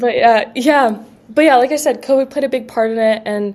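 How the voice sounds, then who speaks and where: A woman with a normal speaking voice talks at a fairly quick pace with ordinary pitch variation. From Canada, Quebec and British Columbia. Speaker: college rower. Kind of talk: casual interview.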